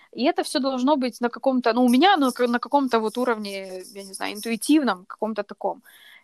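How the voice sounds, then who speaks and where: A woman talks at a fairly quick pace with hardly any pauses, her pitch high and her loudness swinging widely. The sound is dry and close, with no echo. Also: lively intonation. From Kyiv, Ukraine. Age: 20s. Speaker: runner. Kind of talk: casual chat.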